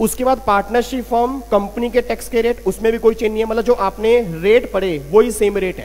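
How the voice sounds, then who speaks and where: A moderate pace with hardly any pauses and fairly even intonation, over noticeable background noise. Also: man, high pitch for a man. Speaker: accountancy exam teacher. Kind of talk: lecture.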